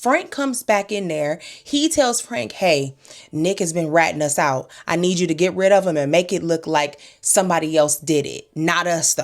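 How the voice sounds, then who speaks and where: Speaking at a moderate pace, a woman with a fairly low pitch sounds animated, her intonation lively. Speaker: TV episode recap commentator. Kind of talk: casual commentary recap.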